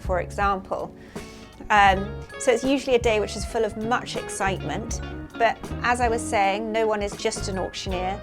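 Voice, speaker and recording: A woman at a moderate pace, music playing in the background. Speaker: auctioneer and head of classic art at an auction house. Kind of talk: interview answer.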